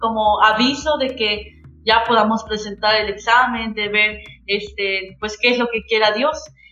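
Over music in the background, a woman talks at a fairly slow pace in a fairly high pitch with fairly even intonation. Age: 20s. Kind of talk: testimony.

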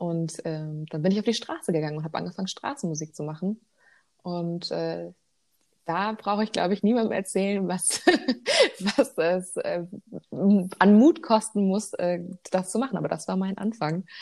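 Against a silent background in a very clean recording, a woman with a dark, mellow tone and medium pitch speaks at a moderate pace with ordinary pitch variation and long, frequent pauses. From Germany, northern Hesse (Edersee). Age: 20s. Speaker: singer. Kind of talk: interview. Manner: hesitant with fillers.

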